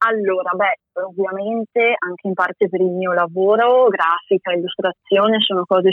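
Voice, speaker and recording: Using an unremarkable speaking voice, a woman talks at a medium pitch and a moderate pace with fairly even intonation. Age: 20s. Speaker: former master's student, graphic designer and illustrator. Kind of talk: interview. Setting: remote call.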